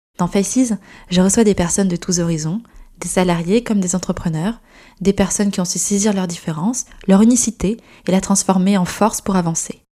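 This woman has a medium pitch and a dark, mellow, somewhat breathy tone. She speaks at a fairly quick pace with fairly even intonation. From France, Gironde. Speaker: podcast host and company founder. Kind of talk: scripted narration.

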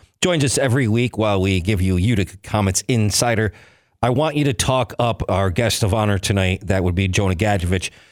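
A man's normal speaking voice, fairly low in pitch and fairly quick, with ordinary pitch variation and very even loudness, on a very clean recording with a silent background and a dry, close sound with no echo. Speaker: radio host. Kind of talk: radio sports show interview. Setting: studio.

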